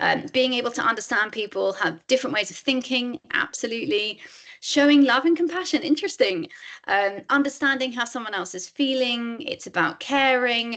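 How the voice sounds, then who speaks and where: A woman's bright, sharp tone, high in pitch, with lively intonation. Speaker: author and empathy advocate giving a workshop. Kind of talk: webinar presentation. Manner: fast.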